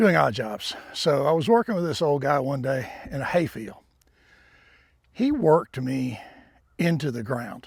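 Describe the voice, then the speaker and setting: Somewhat breathy and fairly high-pitched, a man speaks at a fairly slow pace with lively intonation and long, frequent pauses. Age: 70s. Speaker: farmer. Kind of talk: casual vlog narration.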